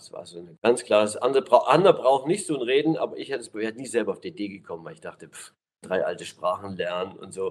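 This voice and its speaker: A normal speaking voice from a man, fairly quick pace, lively intonation. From East Germany. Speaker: pastor. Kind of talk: interview.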